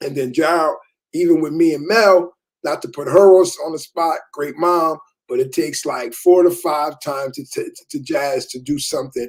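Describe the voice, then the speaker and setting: Pitch varies in an ordinary way as the speech moves at a moderate speed. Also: man, fairly high pitch for a man. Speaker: father, podcast co-host. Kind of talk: casual chat. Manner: halting.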